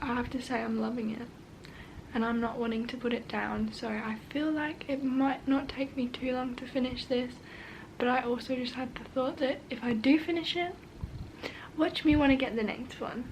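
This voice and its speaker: A woman with a British accent speaks at a moderate pace and high pitch with fairly even intonation, amid noticeable background noise and audible room echo. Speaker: book vlogger. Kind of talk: casual vlog chat. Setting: at home.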